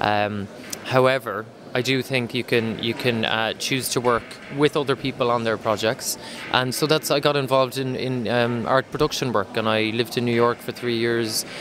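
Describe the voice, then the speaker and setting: Noticeable background noise sits behind a man with an Irish accent who talks at a medium pitch and a moderate pace with fairly even intonation. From west of Ireland. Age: 30s. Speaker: artist. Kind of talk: interview. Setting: art exhibition. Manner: halting, many fillers.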